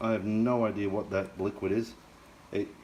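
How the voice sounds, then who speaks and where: A man speaks at a fairly low pitch. Noticeable background noise runs under the recording. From Scotland. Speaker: home cooking youtuber. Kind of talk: cooking tutorial. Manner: casual, chatty.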